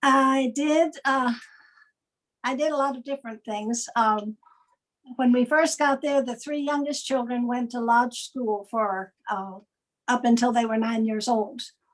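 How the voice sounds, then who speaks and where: Speaking at a fairly slow pace with an American accent, a woman holds a high pitch and fairly even intonation. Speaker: retired missionary. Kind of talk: online church interview.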